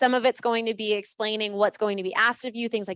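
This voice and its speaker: A woman speaks at a fairly high pitch with fairly even intonation. The sound is dry and close with no echo. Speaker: real estate office trainer. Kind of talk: orientation presentation. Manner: fast.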